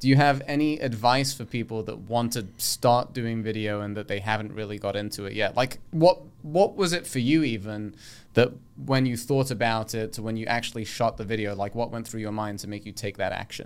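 This man talks at a fairly quick pace, his medium-pitched voice showing ordinary pitch variation. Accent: British. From England. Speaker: podcast host and mortgage broker. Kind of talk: casual interview.

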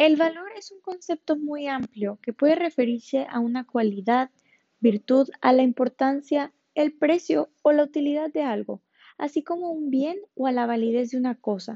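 A woman's high-pitched voice moves along at a moderate pace. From Mexico, Ensenada, Baja California. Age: 20s. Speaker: podcast host, ballet dancer and teacher. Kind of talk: scripted podcast talk on values.

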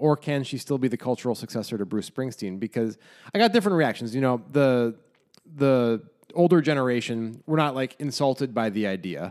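The recording is very clean with a silent background. A man with an unremarkable speaking voice talks at medium pitch with ordinary pitch variation. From United States. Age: 30s. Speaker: podcast co-host. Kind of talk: casual chat.

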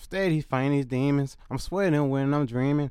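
Using an ordinary speaking voice, a man with a fairly high pitch and ordinary pitch variation talks at a moderate pace. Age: 20s. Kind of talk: spoken word poetry, hard-hitting with repeated hook. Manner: intense, rhythmic, pained, street-inflected flow.

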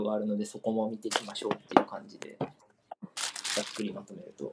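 The intonation stays fairly even, with noticeable background noise behind the voice. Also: man. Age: 20s. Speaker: football talk show co-host. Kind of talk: casual chat.

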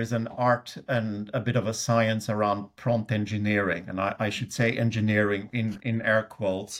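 A man speaks at medium pitch in a Swedish accent. The recording is very clean with a silent background. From Sweden. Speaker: technology executive. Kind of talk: interview conversation. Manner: halting, many filler words.

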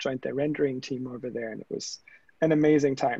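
A man with a German accent speaks at a fairly high pitch, with ordinary pitch variation. The sound is dry and close with no echo, over a quiet background. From Germany. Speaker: tech startup founder. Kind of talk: interview conversation.

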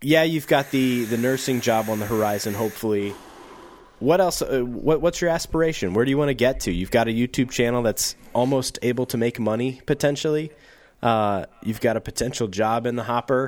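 Over a very clean, silent background, a man speaks with ordinary pitch variation. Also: medium pitch for a man, fairly quick pace. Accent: Midwestern American. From US Midwest, St. Louis County, Missouri. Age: 30s. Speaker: podcast host, YouTube creator. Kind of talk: casual chat.

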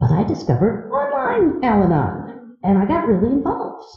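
Vocal fry colors the speech of a woman with an American accent. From US Midwest, east side of Cleveland, Ohio. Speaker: podcaster sharing recovery story. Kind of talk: recovery meeting talk. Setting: live audience at convention.

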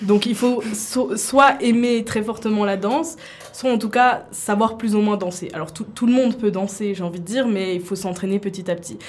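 A woman's medium-pitched voice, with ordinary pitch variation, carries at a moderate pace through noticeable background noise. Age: 20s. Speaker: university student and K-pop dancer. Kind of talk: radio interview.

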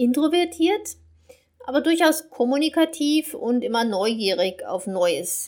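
Her pitch swings very widely. The woman speaks at a very slow pace. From Germany, North Rhine-Westphalia. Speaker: German teacher. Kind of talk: podcast monologue for learners. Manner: clear, learner-paced.

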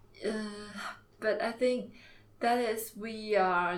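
A woman talks with a Chinese accent in fairly even intonation. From China, Jiangxi province. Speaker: MBA student. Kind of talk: interview. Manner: halting.

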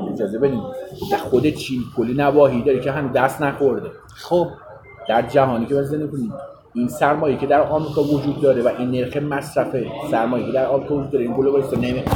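Speaking very fast with fairly even intonation, a man with a fairly high pitch is heard over noticeable background noise and audible room echo. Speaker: political commentator. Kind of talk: heated debate.

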